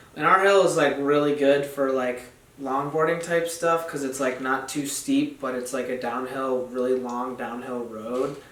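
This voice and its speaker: There is audible room echo and noticeable background noise as a man with an American accent talks at a moderate pace, his medium pitch held in fairly even intonation. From central New York (Dryden). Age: 19. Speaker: skateboarder and college student. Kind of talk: casual podcast interview.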